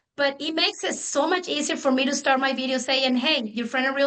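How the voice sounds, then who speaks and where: A woman's raised, projected voice, high-pitched and bright and sharp in tone, with a Spanish accent, a very fast pace and fairly even intonation. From Mexico. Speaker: real estate agent. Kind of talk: panel discussion.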